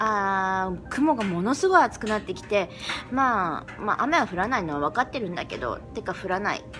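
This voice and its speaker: Clear music plays in the background. A woman speaks with a fairly high pitch. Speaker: vlogger. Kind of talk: casual vlog talk to camera. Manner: slightly fast-talking.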